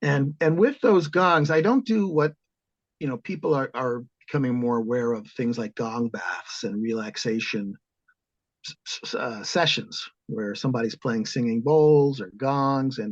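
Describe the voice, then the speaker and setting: In an American accent, a man speaks at a moderate pace and medium pitch, with lively intonation and an unremarkable speaking voice. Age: 60s. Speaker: composer and organist. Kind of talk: interview.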